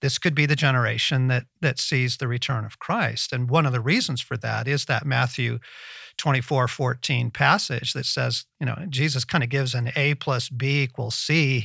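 In an American accent, a man speaks at a moderate pace with medium pitch, a bright, sharp tone, vocal fry, and fairly even intonation. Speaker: podcast host. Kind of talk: casual interview chat. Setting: remote call with guest.

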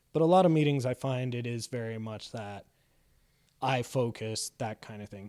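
This man talks at a moderate pace in a Canadian accent, his pitch medium and its variation ordinary. The tone is dark and mellow, loudness swings widely, and the very clean recording is dry and close with no echo over a silent background. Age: 30s. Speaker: improv comedian in recovery. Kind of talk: casual interview. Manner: laughs often.

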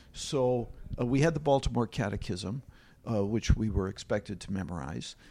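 Speaking at a moderate pace with an American accent, a man uses lively intonation and vocal fry, on a very clean recording with a silent background. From US Midwest, Milwaukee. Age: 70s. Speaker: retired literature professor. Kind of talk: casual discussion.

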